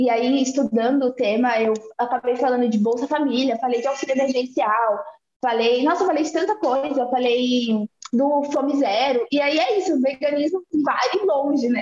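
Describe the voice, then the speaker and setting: Very even loudness and ordinary pitch variation. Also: woman, high pitch for a woman, moderate pace. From Salvador, Bahia, Brazil. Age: 20s. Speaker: activist and law student. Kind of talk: casual interview.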